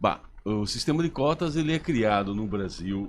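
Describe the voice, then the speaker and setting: In a normal speaking voice, a man at medium pitch talks at a moderate pace with lively intonation. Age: 60s. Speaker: professor, human rights advocate. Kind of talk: radio interview.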